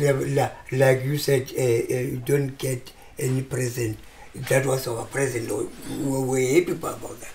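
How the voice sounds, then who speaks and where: A man's medium-pitched, flat monotone voice at a fairly slow pace, with noticeable background noise. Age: 70s. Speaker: retired football player. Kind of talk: interview. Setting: at home. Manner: halting.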